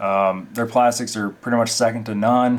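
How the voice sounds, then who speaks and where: A man's medium-pitched voice at a moderate pace, in a monotone, flat intonation. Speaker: RC hobbyist reviewer. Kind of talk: product walkthrough voiceover.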